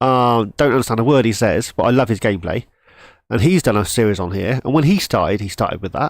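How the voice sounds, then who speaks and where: A man with a British accent talks with very wide pitch swings. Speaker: gaming streamer. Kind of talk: live gameplay stream chat. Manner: halting; casual.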